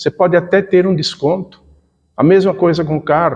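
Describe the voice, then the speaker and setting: A man with a high pitch speaks at a moderate pace. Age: 60s. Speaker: spiritist lecturer. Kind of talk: lecture. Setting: spiritist center talk.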